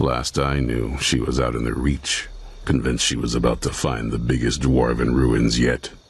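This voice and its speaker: This man adopts a put-on character voice, pitched very deep and low, and keeps a moderate pace. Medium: video game. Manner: gruff, blunt.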